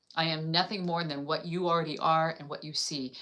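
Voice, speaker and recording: With an American accent, a woman speaks in a bright, sharp tone. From California. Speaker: spiritual teacher and channel host. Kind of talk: live stream talk. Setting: live stream. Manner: fast.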